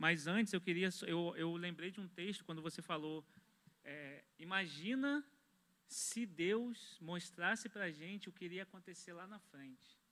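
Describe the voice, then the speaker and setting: Bright and sharp in tone, the voice moves at a fairly slow pace with ordinary pitch variation and big swings in loudness. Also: man, high pitch for a man. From Brazil. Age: 20s. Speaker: church member, construction worker; pastor, panel member. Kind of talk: religious discussion. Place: studio. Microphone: handheld.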